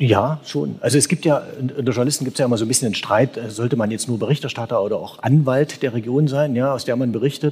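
A man's somewhat breathy delivery at a very fast pace, with hardly any pauses. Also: medium pitch for a man, ordinary pitch variation. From Saxony. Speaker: newspaper correspondent. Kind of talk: live panel discussion. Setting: church with live audience.

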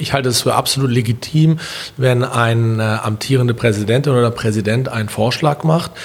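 Fairly even intonation from a man over noticeable background noise. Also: medium pitch for a man, fairly quick pace. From Berlin, Germany. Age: 40s. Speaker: business chamber president and entrepreneur. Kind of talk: podcast interview.

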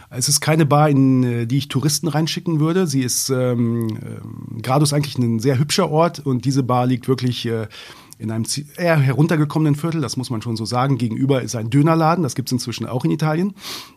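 A man speaks in an ordinary speaking voice at medium pitch. He goes at a fairly quick pace with ordinary pitch variation. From northern Germany, Braunschweig. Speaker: journalist and author. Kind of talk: interview. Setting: studio.

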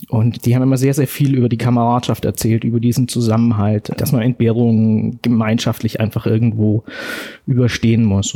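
This man's voice has a dark, mellow tone. He speaks in a monotone, flat way. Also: very even loudness. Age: 40s. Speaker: soldier and war veteran. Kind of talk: personal testimony interview. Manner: halting.

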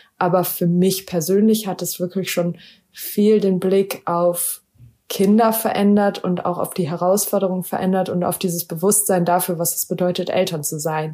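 Delivering flat, monotone intonation, a woman speaks at a medium pitch and moderate pace. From Germany, Wuppertal. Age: 30s. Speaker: special education teacher. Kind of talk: interview.

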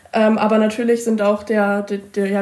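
Her pitch fairly high and her intonation flat and monotone, a woman speaks at a moderate pace over noticeable background noise. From Mecklenburg-Vorpommern, Usedom. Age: young. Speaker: school student representative. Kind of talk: interview answers.

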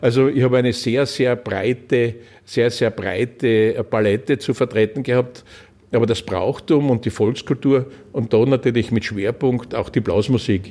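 A man speaks fairly slowly at a medium pitch with fairly even intonation and very even loudness, in a dark, mellow tone. The recording is very clean with a silent background. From Styria, Austria (Leoben). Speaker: former state politician. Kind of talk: podcast interview. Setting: in-person interview.

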